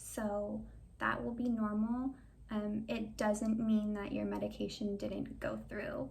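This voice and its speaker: A very slow-paced woman's voice with audible room echo. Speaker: video creator sharing feeding tube tips. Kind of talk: tutorial.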